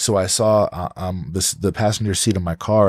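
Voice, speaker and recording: In a New Jersey accent, a man speaks with a very deep, low pitch on a very clean recording with a silent background and a dry, close sound with no echo. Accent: New Jersey American English. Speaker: podcast host. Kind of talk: casual interview chat. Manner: animated.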